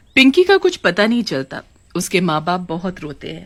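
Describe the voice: At a moderate pace, a woman speaks in a fairly low voice.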